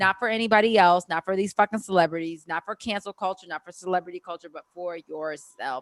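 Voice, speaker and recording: Talking at a very fast pace with hardly any pauses, a woman uses a Baltimore accent. Her loudness swings widely in a dry, close sound with no echo. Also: medium pitch for a woman, ordinary pitch variation. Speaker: podcast co-host. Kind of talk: casual chat.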